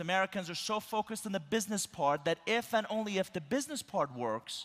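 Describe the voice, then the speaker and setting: With a Persian accent, a man speaks at a fairly quick pace. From Iran. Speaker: keynote speaker. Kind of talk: keynote speech. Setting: conference stage with audience.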